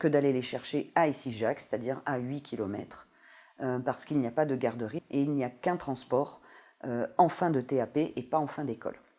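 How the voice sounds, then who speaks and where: Her pitch very deep and low, a woman speaks with fairly even intonation and a dark, mellow tone. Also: moderate pace, very clean recording, silent background. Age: 40s. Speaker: supermarket customer service worker. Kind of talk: interview testimony. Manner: hesitant, many fillers.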